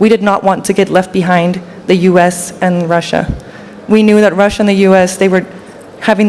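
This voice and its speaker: Over noticeable background noise, a woman at a medium pitch speaks at a moderate pace in a monotone, flat way. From Denmark. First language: Danish. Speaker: panel speaker. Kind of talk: panel discussion.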